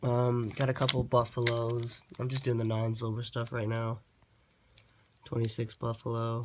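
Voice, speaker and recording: The voice is a man's, medium in pitch. He delivers everything with monotone, flat intonation. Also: moderate pace. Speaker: coin collector YouTuber. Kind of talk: casual show-and-tell video. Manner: casual, hesitant.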